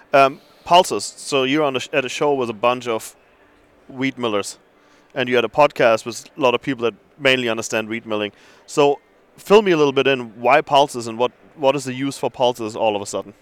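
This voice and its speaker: A man with an ordinary speaking voice talks at a fairly quick pace, his medium pitch moving with ordinary variation in a dry, close sound with no echo. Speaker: podcast host. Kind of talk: casual interviews and ad reads. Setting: conference show floor. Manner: friendly, laid-back.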